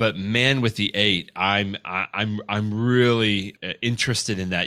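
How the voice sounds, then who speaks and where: Fairly even intonation marks a man's voice, which sits at a fairly low pitch. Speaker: guest, legal technology consultant. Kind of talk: casual interview conversation. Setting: video call. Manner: chatty, filler words.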